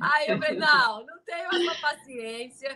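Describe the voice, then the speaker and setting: The voice is raised and projected. It moves at a moderate pace. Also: woman. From Rio de Janeiro, Brazil. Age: 60s. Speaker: author and storyteller. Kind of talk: live stream chat about her book. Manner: informal, conversational.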